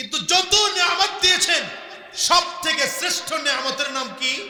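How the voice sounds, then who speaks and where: A man speaks in a raised, projected voice at an extremely high pitch, with ordinary pitch variation. Noticeable background noise and audible room echo fill the recording. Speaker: Islamic preacher. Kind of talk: sermon. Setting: religious gathering with audience.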